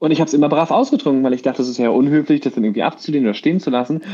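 This man's voice has a dark, mellow tone. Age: 30s. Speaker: podcast co-host, actor. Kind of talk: casual chat.

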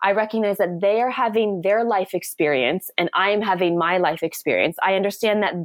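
A woman speaks at a fairly quick pace in a plain, everyday voice, medium in pitch with ordinary pitch variation. The recording is very clean, with a silent background. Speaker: author and poet. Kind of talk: casual interview conversation.

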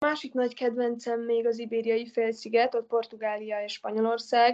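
Against a quiet background, a woman speaks at a moderate pace with fairly high pitch and a dark, mellow tone. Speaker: traveller and hitchhiker. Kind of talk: interview.

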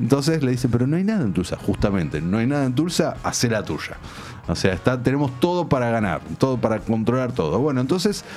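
A man's medium-pitched voice at a very fast pace, with very wide pitch swings, music in the background and audible room echo. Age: 30s. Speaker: film critic. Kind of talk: casual chat.

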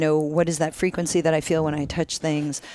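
Quiet speech delivered at a fairly quick pace. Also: woman. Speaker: podcast guest. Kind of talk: casual chat. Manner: quiet, low-pitched.

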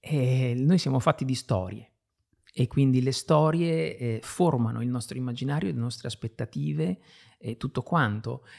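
Lively in intonation, a man speaks in a normal speaking voice at a medium pitch and a moderate pace. The sound is dry and close with no echo, on a very clean recording with a silent background. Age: 50s. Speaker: writer and illustrator. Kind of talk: interview.

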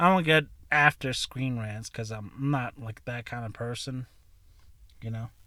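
With a bright, sharp tone, a man of medium pitch speaks with ordinary pitch variation, big swings in loudness and long, frequent pauses on a very clean recording with a silent background. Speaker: podcast host and aspiring comedian. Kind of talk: angry rant, profane tirade against critics, with laughs mixed in. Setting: recording in a truck. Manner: loud, heated, cursing, swinging between ranting and laughing; rambling, self-deprecating, laughs at own jokes.

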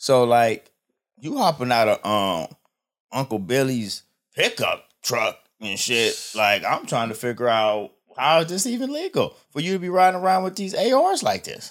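On a very clean recording with a silent background, a man's speech moves at a moderate pace. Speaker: podcast host. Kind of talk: casual chat. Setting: studio. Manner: animated.

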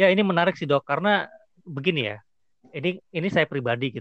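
Dry, close and free of echo, the recording catches a man speaking at a very fast pace with lively intonation. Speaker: podcast host. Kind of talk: casual interview chat. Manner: casual, occasionally stumbling over words.

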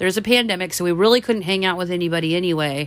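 A woman talks at a medium pitch with lively intonation. Hers is an unremarkable speaking voice. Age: 40s. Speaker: podcast co-host. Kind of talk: casual chat.

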